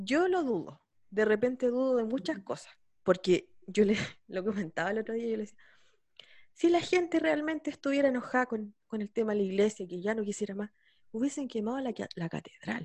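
Speaking with a Chilean accent, a woman talks at a fairly quick pace. Her voice sits fairly high, with lively intonation. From San Javier, Chile. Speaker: podcast host. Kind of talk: casual interview.

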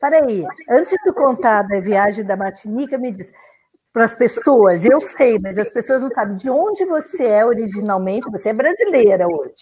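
Swinging very widely in pitch, a woman talks with a fairly high voice. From southern Brazil (Rio Grande do Sul). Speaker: podcast host and sailor. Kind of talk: casual interview. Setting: video call livestream.

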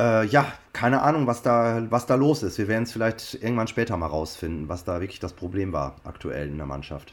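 The voice moves at a fairly quick pace. Its pitch swings very widely. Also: man, medium pitch for a man, very clean recording, silent background. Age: 50s. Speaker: copywriter and football fan. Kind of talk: interview.

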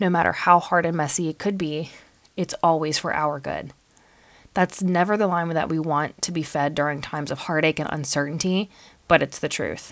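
A robotic-sounding woman speaks at a fairly low pitch with fairly even intonation. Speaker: podcast host. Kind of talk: reading a prepared update from a script. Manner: somewhat robotic, scripted.

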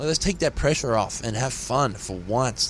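Lively intonation marks this man's speech in an Australian accent. Noticeable background noise runs underneath. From Australia, rural New South Wales. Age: 20s. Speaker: singer in a punk band. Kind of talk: casual interview. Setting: tour bus at a festival.

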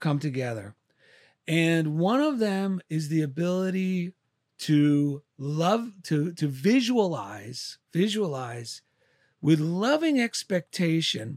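Delivered very slowly in a New Jersey accent, the speech has lively intonation. The recording is very clean with a silent background, and the sound is dry and close with no echo. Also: man. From New Jersey, Clifton. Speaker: artist, author and military veteran. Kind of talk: casual interview chat. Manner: halting, many fillers.

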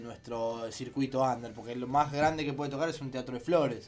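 A man speaks with a Rioplatense accent while music plays in the background. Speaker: radio host. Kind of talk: casual chat.

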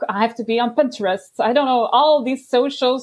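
A woman with a Dutch accent speaks at a moderate pace. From Belgium. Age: 30s. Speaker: life coach. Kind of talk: casual interview. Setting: video call.

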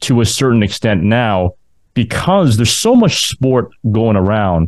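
A man's medium-pitched voice, an ordinary speaking voice, with ordinary pitch variation at a fairly slow pace. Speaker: podcast host and university sports announcer. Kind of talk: interview.

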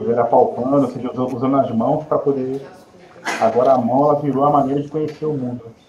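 Over noticeable background noise and audible room echo, a man with a medium-pitched voice and fairly even intonation talks at a fairly quick pace, with long, frequent pauses. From Nova Friburgo, Rio de Janeiro state, Brazil. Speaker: music educator specializing in inclusion. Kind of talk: interview on live podcast.

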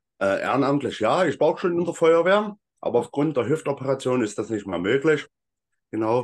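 A plain, everyday voice with lively intonation at a fairly quick pace. The background is quiet. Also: man, fairly high pitch for a man. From Saxony, Freital near Dresden. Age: 30s. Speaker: hiking group founder and volunteer. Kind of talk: casual interview.

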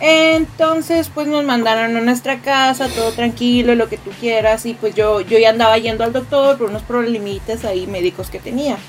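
Over noticeable background noise, a woman with a fairly high voice speaks at a moderate pace with hardly any pauses. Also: ordinary pitch variation. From Mexico, Tijuana. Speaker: podcast host, audiovisual producer. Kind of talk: casual chat.

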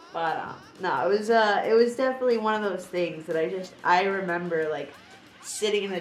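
With audible room echo around her, a woman in an American accent speaks at a moderate pace with fairly even intonation. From Florida. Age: 30s. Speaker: podcast guest. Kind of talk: casual chat.

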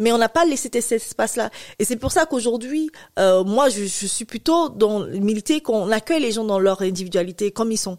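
A woman with a plain, everyday voice, fairly high pitch and lively intonation at a moderate pace, in a dry, close sound with no echo. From Cameroon. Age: 30s. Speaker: infertility patient association president. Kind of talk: interview testimony.

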